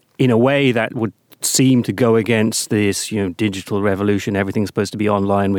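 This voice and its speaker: A man with a British accent speaks at a fairly low pitch. The sound is dry and close, with no echo. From Britain. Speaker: podcast host. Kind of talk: interview. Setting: studio.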